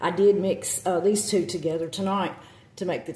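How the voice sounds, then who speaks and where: A woman with a Southern US accent speaks in a fairly even intonation, with noticeable background noise and audible room echo. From US South. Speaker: witchcraft content creator. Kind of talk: casual vlog talk. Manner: halting, many fillers.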